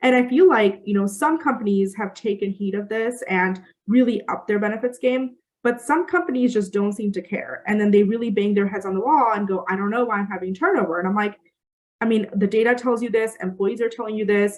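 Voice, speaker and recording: At a fairly quick pace, a woman talks in a fairly high voice with ordinary pitch variation. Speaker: recruiter and company founder. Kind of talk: webinar presentation. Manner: fast.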